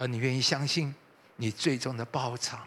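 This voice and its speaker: Here a man is speaking. His tone is bright and sharp. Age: 60s. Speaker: pastor. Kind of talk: sermon.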